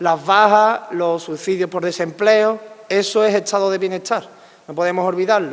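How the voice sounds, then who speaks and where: A man talks in a high pitch at a fairly slow pace. His intonation stays fairly even. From Andalusia, Spain. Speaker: political scientist. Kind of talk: public lecture.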